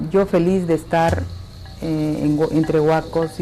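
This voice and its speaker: Music plays in the background as a woman speaks at a moderate pace with a very deep, low pitch. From Peru (Lima). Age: 70s. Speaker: archaeologist. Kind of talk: interview testimony.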